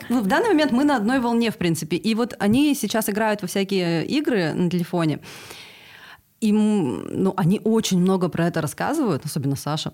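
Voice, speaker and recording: In a very clean recording with a silent background, a woman speaks at a fairly quick pace, her pitch swinging very widely while her loudness stays very even. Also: medium pitch for a woman. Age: 40s. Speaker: podcast co-host. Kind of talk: casual chat.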